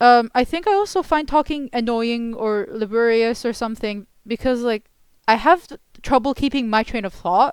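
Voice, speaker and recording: A woman in an Arabic accent speaks at a moderate pace and fairly high pitch with ordinary pitch variation, in a very clean recording with a silent background and a dry, close sound with no echo. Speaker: commentary YouTuber. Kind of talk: video essay commentary. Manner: halting, many fillers and restarts.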